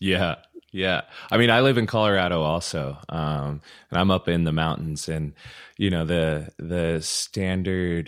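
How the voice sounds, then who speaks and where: A man talks at a fairly slow pace in a very deep, low pitch. The sound is dry and close with no echo, on a very clean recording with a silent background. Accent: American. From Utah. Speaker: podcast co-host. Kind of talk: casual chat. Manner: enthusiastic.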